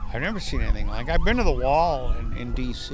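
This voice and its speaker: Audible room echo surrounds a man speaking at a moderate pace with an American accent. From US Southwest, Imperial Valley, California. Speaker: war veteran. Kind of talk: interview. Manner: halting, many repetitions.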